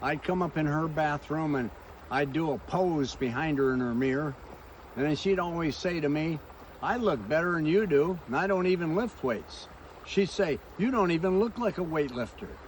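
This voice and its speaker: The speaker keeps a moderate pace and lively intonation over noticeable background noise. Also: man, fairly high pitch for a man. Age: 80s+. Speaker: pastor and motivational speaker. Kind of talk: motivational talk.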